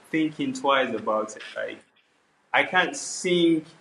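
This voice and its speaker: A man with a Nigerian accent and ordinary pitch variation. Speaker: R&B and Afrobeats singer. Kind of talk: interview. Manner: casual, filler-heavy.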